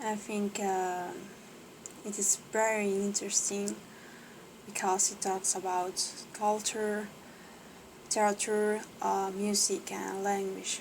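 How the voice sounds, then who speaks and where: A woman with a non-native accent speaks very slowly at a medium pitch, in a monotone, flat way. She leaves long, frequent pauses. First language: not English. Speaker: English learner. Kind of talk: reading aloud with commentary. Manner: halting, many fillers; unsure pronunciation.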